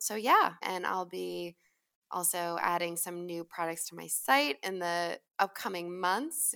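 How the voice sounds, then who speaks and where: In an American accent, this voice has a bright, sharp tone, big swings in loudness, ordinary pitch variation, and a fairly slow pace. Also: woman, fairly low pitch for a woman. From Long Island, New York. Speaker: skincare company founder. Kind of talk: interview.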